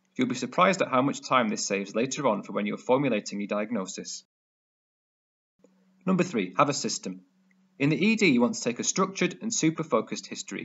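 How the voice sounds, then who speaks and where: A fairly high-pitched man with a British accent, very fast pace, very wide pitch swings, and long, frequent pauses. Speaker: emergency medicine doctor / medical educator. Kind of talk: educational medical tutorial talk to camera.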